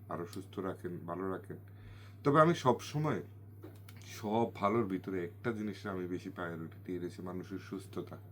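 A man's fairly low voice varies in pitch in an ordinary way. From Bangladesh, Comilla region. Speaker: food channel vlogger. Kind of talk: new year greeting message to viewers.

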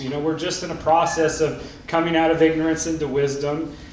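Male speech with noticeable room echo. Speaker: panelist. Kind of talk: panel talk. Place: stage.

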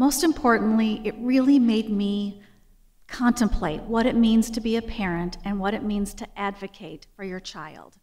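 A woman at a fairly high pitch and fairly slow pace, with ordinary pitch variation, big swings in loudness and a quiet background. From US Midwest. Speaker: library director. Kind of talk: formal introduction speech. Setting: stage with audience. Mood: warm, admiring. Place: hall. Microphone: podium.

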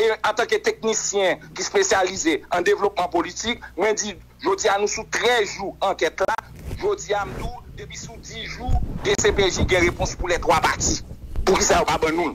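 Over noticeable background noise, a man with a Haitian accent speaks at a moderate pace in a high voice. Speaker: political commentator. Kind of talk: radio interview.

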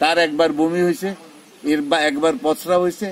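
Lively intonation over light background noise, in a dry sound with no echo. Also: man. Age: old. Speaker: war veteran and dairy farmer. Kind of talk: interview. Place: farm. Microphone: phone near.

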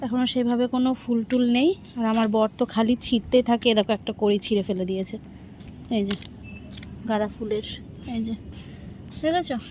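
Fairly high-pitched and somewhat breathy, a woman speaks with a dark, mellow tone. Her intonation is fairly even. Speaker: homemaker vlogger. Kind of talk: casual vlog narration.

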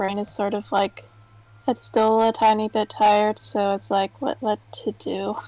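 A woman talks at a fairly slow pace with a dark, mellow tone. Her medium pitch shows little movement.

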